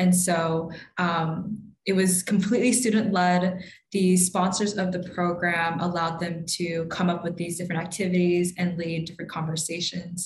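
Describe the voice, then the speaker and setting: A woman with an American accent speaks at a moderate pace in a fairly low pitch with monotone, flat intonation, with light background noise and audible room echo. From US Mid-Atlantic. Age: young. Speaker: college student; guest. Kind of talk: interview conversation. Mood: reflective, sometimes laughing. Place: home room. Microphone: video call.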